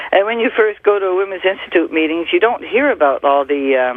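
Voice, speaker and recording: There is noticeable background noise. Over it, a woman talks with ordinary pitch variation. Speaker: women's organization leader. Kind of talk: radio interview.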